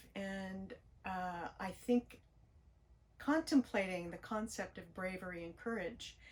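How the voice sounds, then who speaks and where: Somewhat breathy, a woman talks at a very slow pace with medium pitch and ordinary pitch variation. Her loudness swings widely. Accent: American. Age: 60s. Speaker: spiritual YouTuber. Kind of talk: personal vlog monologue. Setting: parked RV near train tracks. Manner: gentle, reflective.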